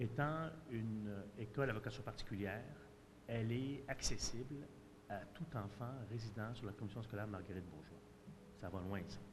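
A speaker at a moderate pace with ordinary pitch variation and long, frequent pauses, over noticeable background noise. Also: man. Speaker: parent. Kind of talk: public consultation statement. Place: hall. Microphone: podium.

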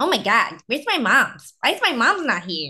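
This is a put-on character voice that sounds female. Its tone is whiny. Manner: high-pitched, whiny.

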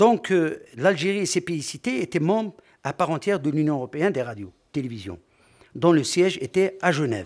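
Over a quiet background, a man with a fairly high voice talks fairly quickly, his pitch swinging very widely. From Algeria. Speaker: conference speaker on sports media; conference speaker. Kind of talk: conference talk. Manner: formal. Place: hall. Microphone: podium.

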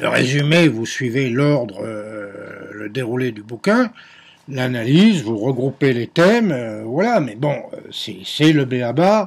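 A man's medium-pitched voice at a very slow pace, lively intonation over light background noise. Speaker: history teacher. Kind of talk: recorded lecture to students. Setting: at home, on video. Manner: hesitant, many filler sounds. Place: home room. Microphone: webcam.

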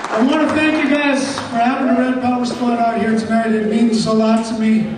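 There is noticeable background noise and strong room echo. A man speaks at an extremely high pitch. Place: hall. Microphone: camera far.

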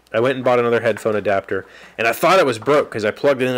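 A man in an American accent, with ordinary pitch variation. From West Virginia, US. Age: 30s. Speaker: vlog host. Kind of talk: casual vlog chat. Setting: home studio shed with sound panels. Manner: rambling, halting. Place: workshop. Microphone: studio mic.

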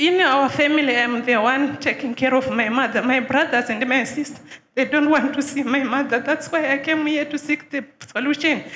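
A woman speaks in a high voice at a moderate pace, her intonation fairly even. Light noise sits in the background. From Zimbabwe. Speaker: church visitor seeking help. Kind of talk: testimony. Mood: troubled, earnest. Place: church. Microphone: handheld.

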